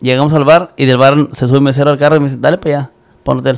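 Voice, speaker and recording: A man with a fairly high pitch. He talks very fast. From Michoacán, Mexico. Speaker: musician. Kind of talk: casual chat.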